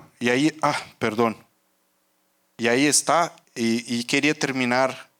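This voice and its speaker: A man with a Portuguese accent and fairly even intonation. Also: medium pitch for a man, fairly slow pace, very even loudness. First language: Portuguese (speaking Spanish). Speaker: rubber market analyst, conference speaker. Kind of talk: conference talk. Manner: halting, many fillers.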